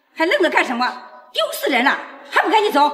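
Speaking fast in a put-on character voice, a woman hits an extremely high pitch with big swings and a fairly bright tone.

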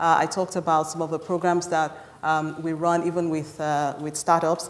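This woman's voice sits fairly low in pitch, moving at a moderate pace with flat, monotone intonation. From Nigeria. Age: young. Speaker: tech company country director. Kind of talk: panel discussion. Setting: stage with audience. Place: hall.

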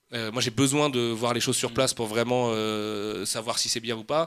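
The speaker has a normal speaking voice and a moderate pace. Intonation stays fairly even. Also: man. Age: 30s. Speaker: comics and manga publisher. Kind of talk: casual chat.

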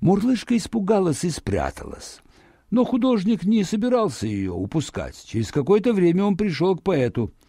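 A man talks in a high pitch with a dark, mellow tone, a slightly husky edge and very wide pitch swings. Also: moderate pace.

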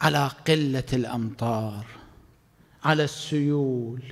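A man speaks at a very slow pace, his intonation lively. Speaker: cleric preacher. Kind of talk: sermon. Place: hall. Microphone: studio mic.

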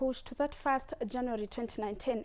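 With a Kenyan accent, a woman speaks at a moderate pace in a high voice with a dark, mellow tone and ordinary pitch variation. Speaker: news anchor. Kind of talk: newsreading. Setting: studio. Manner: formal, brisk, steady news-anchor delivery. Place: studio.

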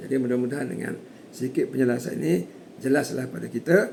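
With lively intonation and a moderate pace, a man speaks in a normal speaking voice. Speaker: hajj course teacher. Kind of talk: lecture. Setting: online course. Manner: formal.

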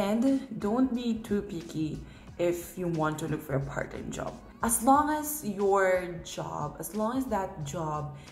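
A woman with a strong Filipino accent speaks at a very slow pace with very wide pitch swings. There is audible room echo and light background noise. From Philippines. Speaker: international college student. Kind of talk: casual talk to camera. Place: home room. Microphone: phone near.

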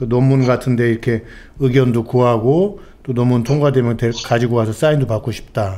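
Speaking at a fairly quick pace, a man has a medium pitch, a dark, mellow tone and ordinary pitch variation. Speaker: political commentator. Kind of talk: live political talk show. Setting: studio.

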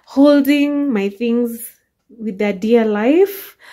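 A woman's dark, mellow voice at a very slow pace, with ordinary pitch variation. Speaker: home vlogger. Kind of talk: casual vlog chat. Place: kitchen. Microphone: phone near.

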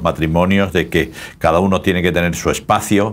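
A man talks with a very deep, low pitch at a moderate pace. His intonation is monotone and flat. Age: old. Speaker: pastor. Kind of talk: casual chat. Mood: calm, warm, reflective. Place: studio.

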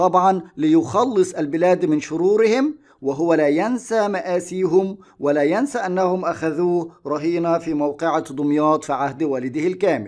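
With hardly any pauses, a man talks fairly slowly in a high pitch with ordinary pitch variation. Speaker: Arabic teacher. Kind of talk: exam review lesson.

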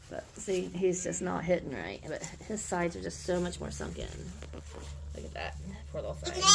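The speaker talks at a fairly quick pace over loud background noise. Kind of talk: casual commentary. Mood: worried, caring. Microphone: phone near.

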